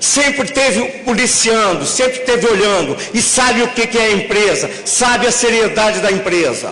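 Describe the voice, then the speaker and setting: A man's raised, projected voice at an extremely high pitch, moderate pace and very even loudness, with noticeable background noise and audible room echo. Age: 60s. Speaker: bus company executive. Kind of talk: public hearing speech. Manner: animated.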